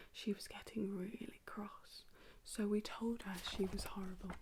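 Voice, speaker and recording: A soft-spoken woman is whispering. She goes at a fairly slow pace. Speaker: ASMR creator. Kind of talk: whispered children's story reading to help sleep. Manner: whispered, soft, slow.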